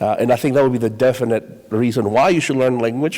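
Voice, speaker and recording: A man talks with a Spanish accent. His pitch sits in the medium range. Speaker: high school Spanish teacher. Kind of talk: panel discussion.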